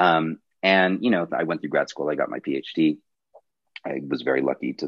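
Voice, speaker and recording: A man with an American accent speaks at a moderate pace in a very deep, low voice with vocal fry. His pitch varies in an ordinary way, and he leaves long, frequent pauses. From Colorado. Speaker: professor. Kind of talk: lecture.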